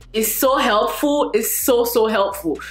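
Fairly slow speech from a woman, with audible room echo. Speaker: food vlogger. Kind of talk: casual vlog chat, sponsor segment. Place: kitchen.

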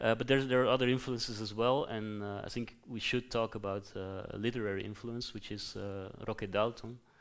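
Speaking at a fairly quick pace with hardly any pauses, a man holds a medium pitch in a flat monotone over a quiet background. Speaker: interviewer and lecturer; interviewer, lecturer. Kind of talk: moderated interview. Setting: event with audience. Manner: hesitant, many fillers. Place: hall.

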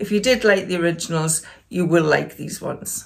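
A woman's moderate-paced speech, with ordinary pitch movement, is heard over a quiet background. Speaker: lifestyle vlogger. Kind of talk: casual vlog chat. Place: home room.

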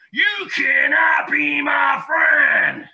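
A man is shouting in a put-on character voice. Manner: sharp and snappy.

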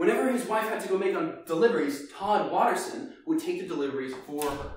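A man speaks with a high pitch and lively intonation. Strong room echo surrounds his voice.

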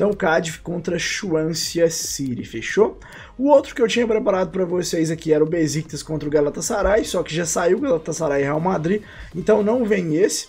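A man with a Brazilian accent speaks at a high pitch. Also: ordinary pitch variation, moderate pace. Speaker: gaming YouTuber. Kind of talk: casual video commentary on game trading. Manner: informal, slangy.

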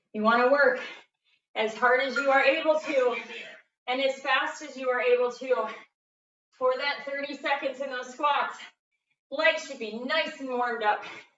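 The delivery comes at a moderate pace with fairly even intonation and long, frequent pauses. Room echo is audible. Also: woman, high pitch for a woman. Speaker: fitness instructor. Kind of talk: workout class instructions. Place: gym. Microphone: camera far.

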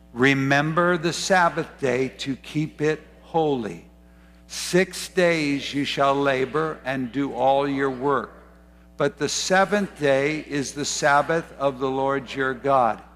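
Faint background music behind a man speaking at a very slow pace with ordinary pitch variation. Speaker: preacher. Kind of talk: sermon. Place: church.

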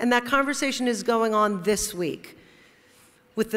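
This is a woman speaking. Her pitch varies in an ordinary way. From New Jersey (Teaneck); New Jersey. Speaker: corporate lawyer, award honoree; corporate lawyer. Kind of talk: award acceptance speech. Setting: stage at awards luncheon. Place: hall. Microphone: podium.

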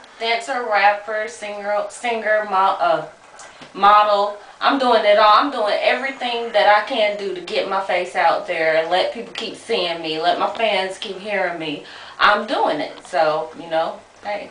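A woman's voice at a fairly slow pace with ordinary pitch variation and big swings in loudness, with audible room echo and light background noise. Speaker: interviewee. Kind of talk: interview answer. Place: bathroom. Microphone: phone near.

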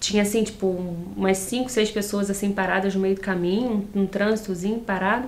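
A woman's flat, monotone delivery. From Nova Friburgo, Rio de Janeiro state, Brazil. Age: 30s. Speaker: interview guest. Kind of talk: casual interview. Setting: TV studio. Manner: relaxed, chatty, laughs often. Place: studio.

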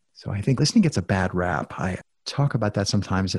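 This man's voice is fairly low and somewhat breathy. He talks at a fairly quick pace. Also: very clean recording, silent background. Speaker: podcast guest with many personal projects. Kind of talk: casual interview conversation.

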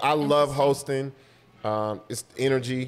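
A man with an American accent talks in a normal speaking voice, his medium pitch held to fairly even intonation. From Los Angeles. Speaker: comedian. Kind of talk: casual chat. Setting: coffee shop. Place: home room. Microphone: studio mic.

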